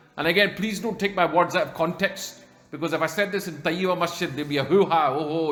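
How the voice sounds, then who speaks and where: Noticeable background noise and audible room echo fill the recording. The voice has ordinary pitch variation. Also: man. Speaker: Islamic scholar giving a talk. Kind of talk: religious lecture. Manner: fast.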